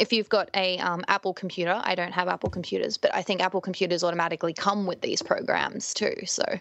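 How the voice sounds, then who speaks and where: Talking at a very fast pace with hardly any pauses, a woman keeps a fairly even intonation at medium pitch, the sound dry and close with no echo but noticeable background noise. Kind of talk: casual interview chat.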